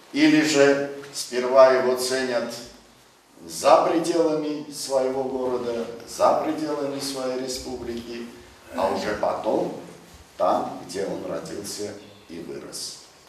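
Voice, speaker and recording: Room echo can be heard around a man's voice, which shows ordinary pitch variation. There is light background noise. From Georgia. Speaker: poet. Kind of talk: speech and poetry reading. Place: hall.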